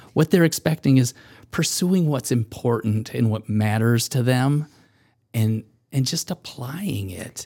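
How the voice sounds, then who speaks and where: A man's dark, mellow voice with a Midwestern American accent, lively in intonation and at a fairly slow pace. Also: medium pitch for a man, dry, close sound with no echo. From US Midwest, Michigan. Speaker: co-author and researcher. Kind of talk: casual interview.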